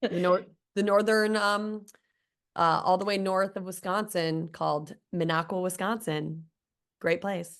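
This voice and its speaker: Against a quiet background, a woman with a slight Midwestern accent speaks at medium pitch and a fairly slow pace. Her intonation stays fairly even, broken by long, frequent pauses. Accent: slight Midwestern twang. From US Midwest, Chicago. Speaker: guest. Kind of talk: casual chat.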